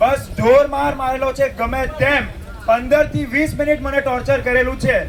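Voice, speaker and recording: A man with an extremely high voice speaks in a flat monotone over noticeable background noise. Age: 20s. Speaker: assault victim, physiotherapist. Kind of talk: testimony.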